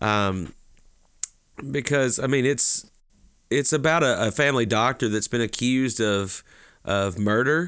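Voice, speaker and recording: Against a very clean recording with a silent background, a man with a Southern US accent speaks at a medium pitch and fairly slow pace, leaving long, frequent pauses. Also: ordinary pitch variation, very even loudness. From Alabama (Talladega). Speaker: podcast co-host, pastor. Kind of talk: casual chat about books.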